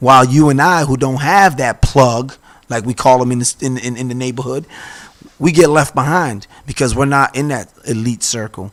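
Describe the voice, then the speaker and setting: A medium-pitched male speaker at a moderate pace, a plain, everyday voice with ordinary pitch variation. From Boston. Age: 40s. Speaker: city council candidate. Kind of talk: interview.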